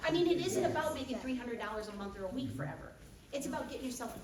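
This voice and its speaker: Over noticeable background noise and audible room echo, a woman with an American accent speaks in an animated tone with very wide pitch swings. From US Midwest, Wisconsin. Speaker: business trainer. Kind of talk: business training seminar. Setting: stage with audience, microphone. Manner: fast.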